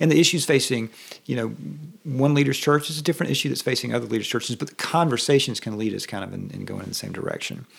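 A man talks at a very fast pace and medium pitch in a Southern US accent. Noticeable background noise sits behind him. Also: ordinary pitch variation. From US South. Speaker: pastor and guest interviewer. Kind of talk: casual interview chat. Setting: office.

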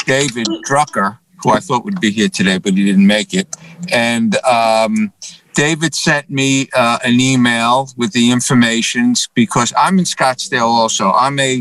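The sound is dry and close, with no echo. A man with a New York accent talks at a fairly slow pace. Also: medium pitch for a man, ordinary pitch variation. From New York City (Bronx, Manhattan). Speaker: printer. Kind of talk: casual chat. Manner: halting, many fillers.

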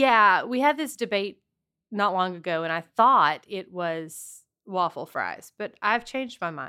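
A woman's bright, sharp voice at medium pitch, lively in intonation, in a very clean recording with a silent background. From Southwest Louisiana. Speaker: TV news anchor, podcast co-host. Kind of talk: casual chat.

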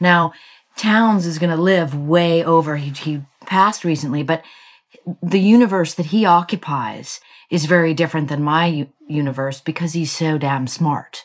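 A woman speaks at a moderate pace with a fairly low pitch and ordinary pitch variation. It is a normal speaking voice. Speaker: investigative journalist and author. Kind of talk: interview.

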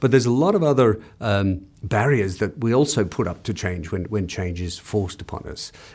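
A fairly low male voice in an Australian accent, with lively intonation at a moderate pace, on a very clean recording with a silent background. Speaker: business consultant and author. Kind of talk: interview excerpts. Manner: hesitant, with fillers and repeats.

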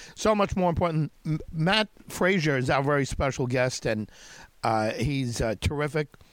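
With an ordinary speaking voice, this man talks at a moderate pace with very even loudness and lively intonation, recorded very cleanly against a silent background. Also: fairly high pitch for a man. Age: 50s. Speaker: radio host. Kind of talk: radio interview.

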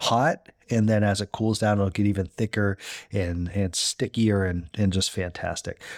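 On a very clean recording with a silent background and a dry, close sound with no echo, a normal speaking voice carries fairly even intonation. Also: man. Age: 30s. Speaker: cooking podcast host. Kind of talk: casual instructional monologue. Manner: casual with many fillers and repetitions.

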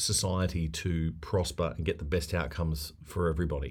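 This is a man speaking with an Australian accent. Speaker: podcast host, former newsreader. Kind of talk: casual chat.

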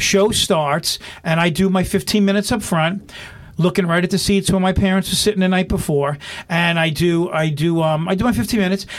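At a fairly quick pace, a man speaks with a high pitch, fairly even intonation and very even loudness. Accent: New York. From New York (Brooklyn, then Long Island). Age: 50s. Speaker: stand-up comedian. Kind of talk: casual interview chat.

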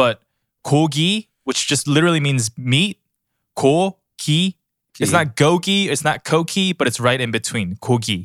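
A man with a plain, everyday voice speaks at a fairly slow pace in a fairly high pitch, using lively intonation. The sound is dry and close with no echo, a very clean recording with a silent background. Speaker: producer.

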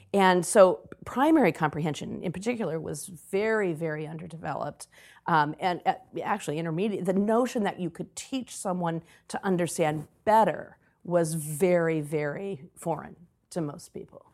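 At a moderate pace, a woman with a normal speaking voice talks in a fairly low pitch with ordinary pitch variation. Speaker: author and education consultant. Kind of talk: interview conversation.

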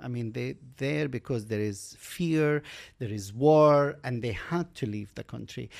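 A man's medium-pitched voice with an Arabic accent, ordinary pitch variation, a moderate pace and long, frequent pauses. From Kuwait, Palestinian refugee camp. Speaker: mountain climber. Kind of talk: interview.

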